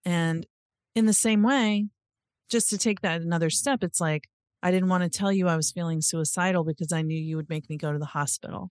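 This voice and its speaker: A woman speaks at a fairly quick pace in an ordinary speaking voice, her pitch fairly low. The sound is dry and close with no echo, over a quiet background. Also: ordinary pitch variation. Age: 50s. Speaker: podcast host, therapist and social worker. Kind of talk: interview chat; scripted intro/outro narration.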